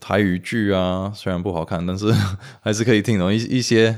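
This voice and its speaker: A man's very deep, low voice with fairly even intonation on a very clean recording with a silent background. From US (Romanian immigrant family). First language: Romanian (speaking Chinese). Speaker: language enthusiast, improv performer. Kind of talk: interview. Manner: halting, frequent repetitions.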